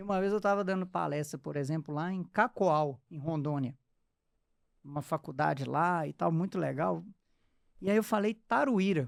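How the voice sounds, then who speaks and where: Speaking in a strong Minas Gerais accent, a man with a fairly high pitch and ordinary pitch variation keeps a moderate pace. He leaves long, frequent pauses on a very clean recording with a silent background. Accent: thick Minas Gerais (mineiro). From eastern Minas Gerais, Brazil. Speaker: podcast host. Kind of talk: casual interview chat.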